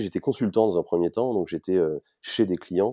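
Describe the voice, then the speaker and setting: The recording is dry and close, without echo. A man speaks with a quiet background behind him. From Paris region, France. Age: 40s. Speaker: startup founder. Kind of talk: interview. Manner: hesitant with repetitions.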